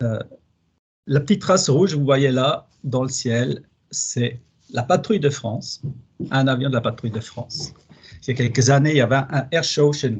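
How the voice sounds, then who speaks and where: A man's somewhat breathy, fairly high voice at a moderate pace, with ordinary pitch variation and a slight Swiss German accent. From German-speaking Switzerland, Basel. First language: Swiss German (speaking French). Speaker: plant pathologist researcher. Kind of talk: webinar presentation. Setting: online webinar. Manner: hesitant, with fillers.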